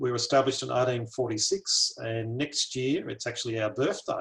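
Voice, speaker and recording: A man with an Australian accent speaks in a somewhat breathy voice. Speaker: botanic garden curator. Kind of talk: lecture.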